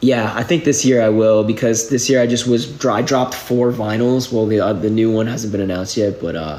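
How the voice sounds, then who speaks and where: Over noticeable background noise and audible room echo, a man with an American accent speaks at a fairly quick pace in a medium pitch. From New England, outside Boston. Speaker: musician. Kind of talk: casual livestream Q&A. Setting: live video stream. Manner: casual, filler-heavy speech.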